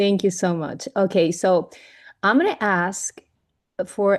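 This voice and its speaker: Over a quiet background, a woman speaks at medium pitch with a Venezuelan accent. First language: Spanish. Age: 40s. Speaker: network marketing leader, former chef. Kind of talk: team training talk. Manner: halting, with restarts.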